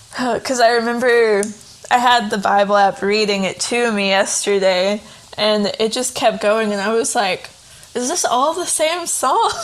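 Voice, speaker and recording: Fairly high-pitched speech from a woman at a moderate pace, with ordinary pitch variation over noticeable background noise. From Tennessee. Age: 20s. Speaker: writer and editor. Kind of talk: casual interview. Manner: hesitant, filler-heavy.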